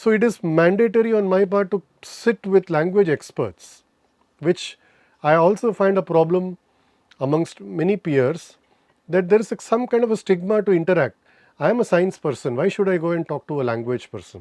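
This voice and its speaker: In a dry, close sound with no echo and a quiet background, a man uses lively intonation at a high pitch. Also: moderate pace. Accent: Tamil. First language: Tamil. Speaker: chemistry professor. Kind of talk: interview. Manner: halting, self-correcting.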